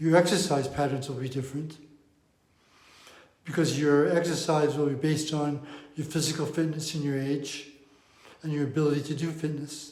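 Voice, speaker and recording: Fairly high-pitched and somewhat breathy, a man speaks in a monotone, flat way with long, frequent pauses, his voice carrying audible room echo. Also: moderate pace. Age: 70s. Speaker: diabetes coach. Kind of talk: talking-head explainer.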